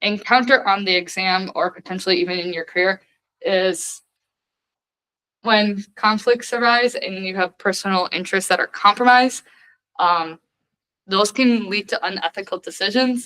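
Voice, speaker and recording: A woman's bright, sharp voice at a medium pitch, with ordinary pitch variation, a moderate pace and long, frequent pauses, in a dry, close sound with no echo. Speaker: student study session leader. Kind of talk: lecture.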